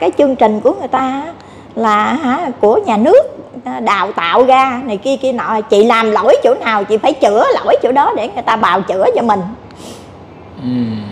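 Speaking fairly slowly, a woman uses a high pitch and lively intonation. Light background noise can be heard. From southern Vietnam. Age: 50s. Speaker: scam victim seeking help; interviewee. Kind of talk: interview testimony. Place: cafe. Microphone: lapel.

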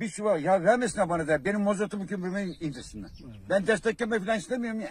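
Speaking at a very fast pace, a man uses a high pitch with ordinary variation. Light background noise is present. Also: dry sound with no echo. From Pamukova, Sakarya, Turkey. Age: 70s. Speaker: farmer. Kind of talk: street interview answer. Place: farm machine.

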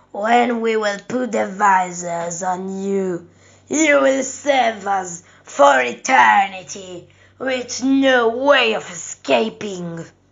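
A menacing tone at a very slow pace. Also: woman, medium pitch for a woman. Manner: gloating, menacing.

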